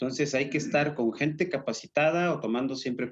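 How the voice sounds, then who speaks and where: Speaking with an unremarkable speaking voice, this man sits at a fairly high pitch and lets it vary in an ordinary way. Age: 50s. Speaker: shoe and clothing distributor, business owner. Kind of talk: interview.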